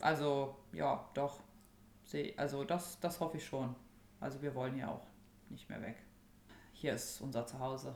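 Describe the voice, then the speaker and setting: In a room with audible echo, a woman with a very deep, low pitch talks at a fairly slow pace with ordinary pitch variation and long, frequent pauses. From Germany, Rhineland (Burscheid). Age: 30s. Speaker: young mother, local resident. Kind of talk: casual interview. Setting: at home in dining room.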